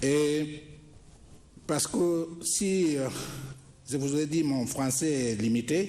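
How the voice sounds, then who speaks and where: A man speaks at a very slow pace with a fairly high pitch and ordinary pitch variation. Audible room echo surrounds his voice. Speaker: government minister. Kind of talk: formal speech. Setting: ceremony with audience. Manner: halting.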